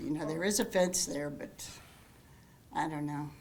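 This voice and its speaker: A woman's voice with an American accent and ordinary pitch variation, in audible room echo. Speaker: resident speaking at public comment. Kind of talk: public comment at council meeting. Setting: council meeting room. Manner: halting.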